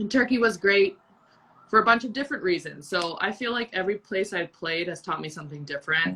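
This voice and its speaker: A woman with a Canadian accent at a very fast pace, with big swings in loudness. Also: medium pitch for a woman. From Canada. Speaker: professional volleyball player. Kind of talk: interview. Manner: animated.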